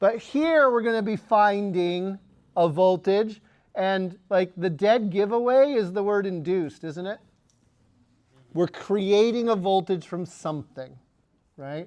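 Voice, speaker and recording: Against a quiet background, a man with a high, squeaky voice and an animated tone speaks at a fairly slow pace, with ordinary pitch variation and long, frequent pauses. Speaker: physics teacher. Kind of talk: lecture. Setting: classroom.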